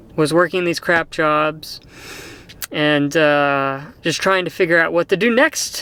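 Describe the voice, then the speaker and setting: A man with an American accent, high-pitched and bright, sharp in tone, at a fairly slow pace. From Texas, Sherman. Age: 30s. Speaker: vlogger. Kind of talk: casual monologue. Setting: in a car. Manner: halting, many fillers.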